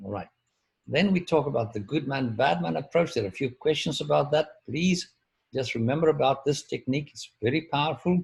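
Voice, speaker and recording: This man's pitch sits fairly high, with some vocal fry. His intonation is lively and his pace moderate. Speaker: professor. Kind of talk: lecture. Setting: video call.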